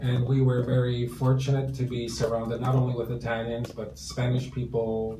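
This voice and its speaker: Amid noticeable background noise and audible room echo, a man of medium pitch talks with a Canadian accent. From Toronto, Canada. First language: Italian. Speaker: real estate broker. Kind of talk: interview. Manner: halting, many fillers.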